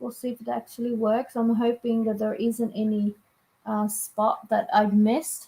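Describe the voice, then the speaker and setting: Somewhat breathy and fairly high, a woman's dark, mellow voice moves with fairly even intonation. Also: moderate pace. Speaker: livestreamer, knitting hobbyist. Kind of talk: casual live stream chat while crafting. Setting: live stream.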